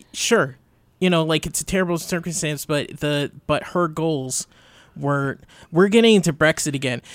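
A man talks in an ordinary speaking voice, pitched fairly high for a man, with ordinary pitch variation. The recording is very clean, with a silent background. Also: moderate pace. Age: young. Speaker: radio producer and co-host. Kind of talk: casual chat. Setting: studio.

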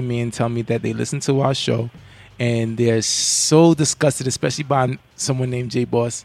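Someone with a New York accent speaks at a moderate pace against noticeable background noise. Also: man. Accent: New York (Bronx). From New York, the Bronx. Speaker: podcast co-host. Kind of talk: casual chat. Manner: animated.

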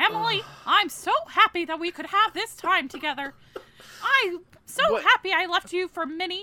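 An extremely high-pitched put-on character voice at a moderate pace

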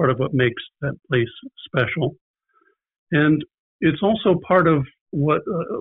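A man is speaking. He has a US Midwestern accent. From Indiana, US Midwest. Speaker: retired pastor. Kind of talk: casual interview. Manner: halting.

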